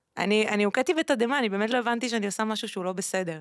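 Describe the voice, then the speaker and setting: A woman talks in a plain, everyday voice at a medium pitch with ordinary pitch variation. The sound is dry with no echo over a quiet background. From Israel, Ashdod; Israel. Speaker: singer and former radio host; former radio host. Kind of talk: interview conversation. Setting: studio. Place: studio. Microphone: studio mic.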